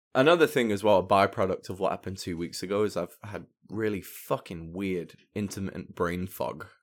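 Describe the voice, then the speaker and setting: Over a very clean recording with a silent background, a man talks at a fairly quick pace in an ordinary speaking voice. His pitch is fairly low and shows ordinary variation. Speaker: musician. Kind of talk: casual chat. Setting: studio.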